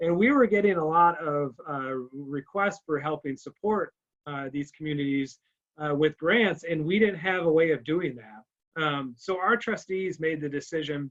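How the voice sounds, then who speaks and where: With ordinary rises and falls, a man speaks at a fairly high pitch. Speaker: fundraising officer for a charitable foundation. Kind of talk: presentation to a club. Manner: fast; halting, many fillers and restarts.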